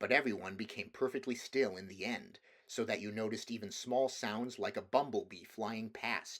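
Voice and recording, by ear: Text read aloud in a natural voice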